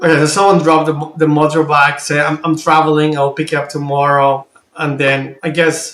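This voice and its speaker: In a Spanish accent, a man speaks at a fairly high pitch. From Colombia, Bogota. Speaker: video reactor, army veteran. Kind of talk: reaction commentary.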